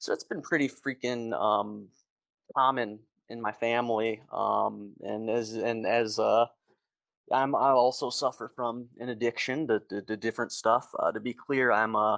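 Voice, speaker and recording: A man with an American accent and a plain, everyday voice, medium in pitch, with fairly even intonation, on a very clean recording with a silent background and a dry, close sound with no echo. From US Midwest, Metro Detroit, Michigan. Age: 30s. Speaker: army veteran. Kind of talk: interview testimony. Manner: fast, with many fillers.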